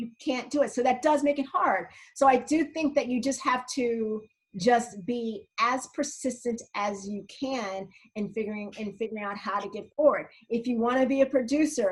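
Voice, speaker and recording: With an American accent, a woman speaks in an animated tone at a high pitch. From US Northeast (South Jersey). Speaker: film and TV producer. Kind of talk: interview.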